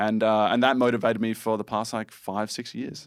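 Man with an Australian accent at a fairly quick pace, on a very clean recording with a silent background. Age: 20s. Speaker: ninja warrior competition winner. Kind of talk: casual chat. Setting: studio.

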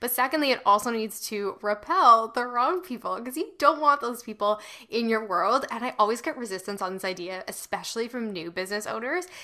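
A woman with a plain, everyday voice speaks at a fairly quick pace, her fairly high pitch moving with lively intonation. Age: 20s. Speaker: podcast host, copywriter. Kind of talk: casual interview chat.

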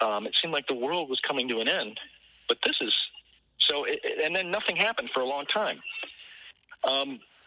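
A man speaks with an American accent at a fairly high pitch. His pace is fairly quick, with noticeable background noise. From Michigan, Detroit area. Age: 60s. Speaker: guitarist. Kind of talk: interview. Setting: outdoors on a porch, remote call.

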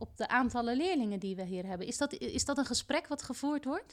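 A woman is speaking with lively intonation. Her pitch is fairly high. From Rotterdam, Netherlands. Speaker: teacher and podcast host. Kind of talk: interview. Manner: halting, many fillers.

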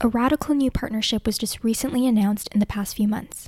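A woman talks at a very fast pace and fairly high pitch in a very clean, silent recording with a dry, close sound and no echo. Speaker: podcast host narrating. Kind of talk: scripted narration.

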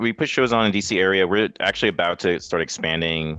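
A man speaks with an American accent and ordinary pitch variation. Music plays in the background. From New York City, Queens. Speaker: electronic musician and event organizer. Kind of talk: interview. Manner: halting.

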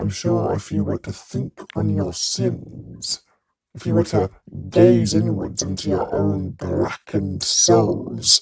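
A raspy, put-on character voice comes through. It moves at a fairly slow pace. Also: man, very deep, low pitch for a man. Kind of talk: dramatic, archaic. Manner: menacing, ominous.

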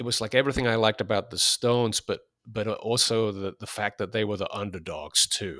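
A bright, sharp voice with an English accent moves at a fairly quick pace with fairly even intonation. The sound is dry and close with no echo, on a very clean recording with a silent background. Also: man. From England. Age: 50s. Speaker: fanzine editor. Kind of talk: interview. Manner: halting.

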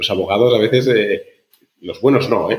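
A man is speaking here. His voice is somewhat breathy and moves at a fairly quick pace. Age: 40s. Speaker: startup founder and CEO. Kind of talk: interview conversation.

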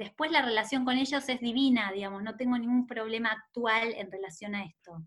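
A woman with a Rioplatense accent talks fairly quickly with hardly any pauses, her fairly high voice varying in pitch in an ordinary way while its loudness swings widely. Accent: Argentine Rioplatense Spanish. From Argentina, Rosario (Santa Fe). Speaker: author and maternity therapist. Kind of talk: interview conversation.

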